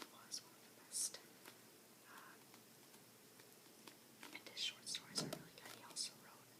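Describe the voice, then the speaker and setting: A woman whispers over noticeable background noise. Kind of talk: casual talk to listener. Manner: soft-spoken.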